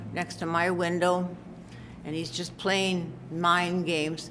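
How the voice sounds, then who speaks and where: A woman with a fairly low pitch speaks at a very slow pace, with audible room echo. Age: 80s+. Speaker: resident speaking at public comment. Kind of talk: public comment at council meeting. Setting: city council meeting room. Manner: halting, emotional.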